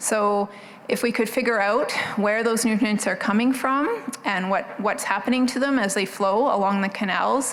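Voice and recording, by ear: A soft-spoken woman at a moderate pace and medium pitch, her tone fairly bright, with ordinary pitch variation, few pauses and faint background noise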